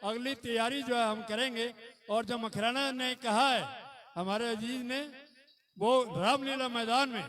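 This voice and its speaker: Against noticeable background noise, a man speaks at an extremely high pitch with fairly even intonation. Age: 70s. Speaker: community leader. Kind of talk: public speech. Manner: formal.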